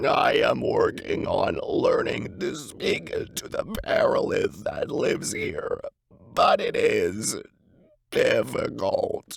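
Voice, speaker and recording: A man's raspy, put-on character voice at an extremely high pitch and a very slow pace. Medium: solo performance. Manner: cautious, advising.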